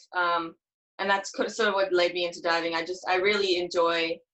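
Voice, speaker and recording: This is a woman's voice. She talks with an American accent. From South Africa, Johannesburg. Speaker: athlete (diver). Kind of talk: interview.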